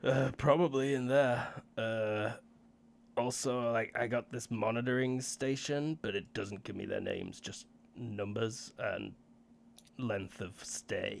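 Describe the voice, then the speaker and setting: Putting on a raspy character voice at medium pitch, a man speaks fairly slowly with fairly even intonation. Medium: actual play. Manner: casual, hesitant, full of fillers.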